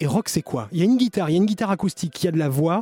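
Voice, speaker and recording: With a dark, mellow tone and ordinary pitch variation, a man speaks in a dry, close sound with no echo. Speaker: radio host. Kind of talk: radio show presenting. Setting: radio studio, live. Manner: animated.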